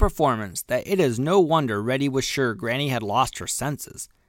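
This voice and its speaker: A man speaks in a gentle tone in a very clean recording with a silent background. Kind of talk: audiobook reading of a children's story, bedtime story telling. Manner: gentle, slow, storyteller's pacing.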